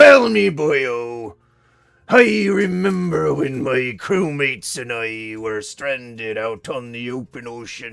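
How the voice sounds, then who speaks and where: In a put-on character voice, a man talks at a fairly slow pace with a medium pitch. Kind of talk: pirate speech.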